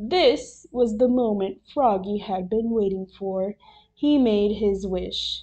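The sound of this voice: Pitch moves in an ordinary way through this unforced reading voice.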